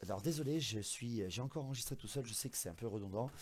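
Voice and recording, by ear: This man puts on a hoarse character voice at a medium pitch. He talks at a very fast pace.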